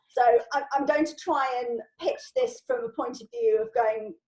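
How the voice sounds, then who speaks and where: A woman with an unremarkable speaking voice talks at a moderate pace with fairly even intonation. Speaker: LinkedIn trainer. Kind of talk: informal online training Q&A. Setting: video call.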